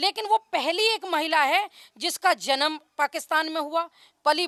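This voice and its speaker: A woman with a slight Haryanvi accent uses a raised, projected voice at an extremely high pitch. Her tone is bright and sharp, her intonation lively, and the sound dry and close with no echo. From Haryana, India. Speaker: local villager interviewed. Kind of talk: street interview.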